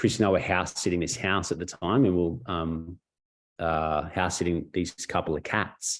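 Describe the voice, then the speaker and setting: A man with a very deep, low voice and an Australian accent, his intonation fairly even, over a quiet background. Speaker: network marketing mentor. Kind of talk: webinar interview storytelling. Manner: fast; casual, halting with fillers.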